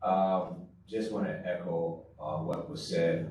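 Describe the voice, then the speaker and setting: A man with an American accent speaks at a very deep, low pitch, his pitch varying in an ordinary way. Background noise is noticeable, and room echo is audible. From New York and South Carolina. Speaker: school bond campaign volunteer. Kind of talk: panel remarks at community forum. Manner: halting, many fillers.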